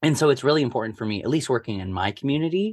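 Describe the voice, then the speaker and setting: Talking at a very fast pace with lively intonation, a man has a Midwestern American accent. The recording is very clean, with a silent background. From US Midwest, Omaha, Nebraska. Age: 20s. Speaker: theatre director. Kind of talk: casual interview.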